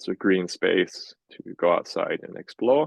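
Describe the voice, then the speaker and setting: A man with a Welsh accent speaks at a very slow pace, the sound dry and close with no echo. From Wales. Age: 20s. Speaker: healthcare scientist. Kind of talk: interview.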